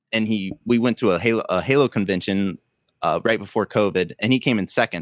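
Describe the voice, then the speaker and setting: Here a man speaks in a plain, everyday voice with ordinary pitch variation. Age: 20s. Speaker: Lego builder and content creator. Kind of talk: casual chat. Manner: fast.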